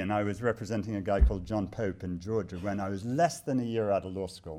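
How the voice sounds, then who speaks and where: Here a man speaks at a fairly low pitch. The recording is very clean, with a silent background. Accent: British. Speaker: human rights lawyer. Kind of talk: live talk to an audience. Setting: stage with audience. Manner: animated, joking.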